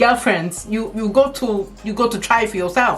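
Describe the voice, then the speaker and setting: An animated tone comes through at a moderate pace, with music in the background. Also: woman. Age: 40s. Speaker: hair care vlogger. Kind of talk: casual vlog talk. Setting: home office.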